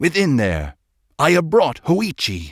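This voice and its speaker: A loud, raspy put-on character voice talks at a fairly slow pace. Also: man. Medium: read story. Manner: loud, curt.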